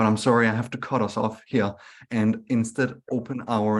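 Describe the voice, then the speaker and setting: Against a quiet background, a man with a Scandinavian accent speaks at a fairly low pitch and moderate pace in a monotone, flat way. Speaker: webinar moderator. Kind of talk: webinar moderation. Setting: online webinar.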